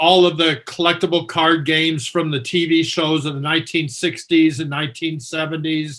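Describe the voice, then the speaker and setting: A fairly high-pitched man keeps his speech at a moderate pace. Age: 60s. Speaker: veteran collector. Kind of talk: interview. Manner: halting, many fillers.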